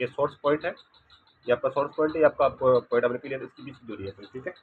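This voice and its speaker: A man speaks quietly at a fairly quick pace. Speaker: physics teacher. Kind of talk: lecture.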